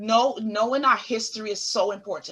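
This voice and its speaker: Woman with a Caribbean accent, fairly high-pitched and bright and sharp in tone, at a fairly slow pace with ordinary pitch variation. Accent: Caribbean island. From US Virgin Islands (Saint Thomas). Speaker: therapist. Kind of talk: interview.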